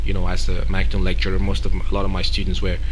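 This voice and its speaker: Through noticeable background noise and audible room echo, a man speaks at a very deep, low pitch. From Cameroon. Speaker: event organizer and entrepreneur. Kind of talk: radio interview. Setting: radio studio. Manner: hesitant, many fillers and repetitions.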